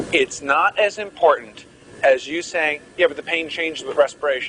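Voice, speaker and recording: A man's voice comes through. Behind it, background noise is noticeable. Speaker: medical lecturer. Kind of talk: lecture. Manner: animated.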